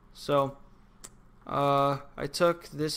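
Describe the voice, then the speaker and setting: This man speaks at a fairly high pitch with a monotone, flat intonation. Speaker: game development tutorial maker. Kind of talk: screen-recorded tutorial. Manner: halting, many fillers; casual.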